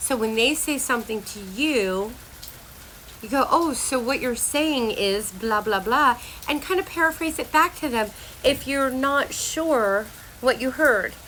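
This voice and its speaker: Over noticeable background noise, a woman with a high pitch speaks in an animated tone at a fairly slow pace. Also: lively intonation. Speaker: health and life coach. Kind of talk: casual vlog monologue.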